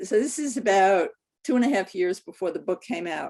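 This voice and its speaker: A woman's voice at a medium pitch, with ordinary pitch variation and a moderate pace. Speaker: clinical psychologist and author. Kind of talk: webinar talk. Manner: halting.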